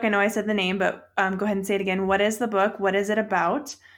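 At a very fast pace, a woman speaks at a medium pitch. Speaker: podcast host. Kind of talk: casual interview.

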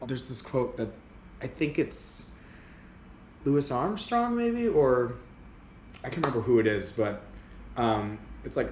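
An American accent from a man at a moderate pace, broken by long, frequent pauses, with audible room echo. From Massachusetts, south of Boston. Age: 30s. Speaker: actor and singer. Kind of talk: casual interview. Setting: in person, Upper West Side.

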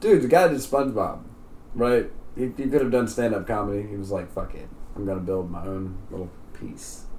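A man speaks at a fairly quick pace with lively intonation and big swings in loudness. Audible room echo surrounds his voice. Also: medium pitch for a man. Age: 20s. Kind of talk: casual chat.

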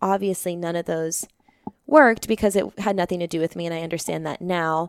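An ordinary speaking voice with an American accent talks at a fairly quick pace with fairly even intonation, in a dry, close sound with no echo on a very clean recording with a silent background. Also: woman. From Arizona, Phoenix area. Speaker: yoga instructor and skydiver. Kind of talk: interview conversation.

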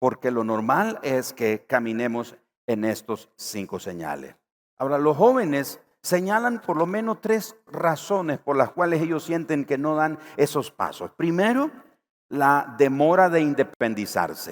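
A man with a fairly high pitch talks at a fairly slow pace in an animated tone, his pitch swinging very widely. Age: 50s. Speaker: pastor. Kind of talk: sermon.

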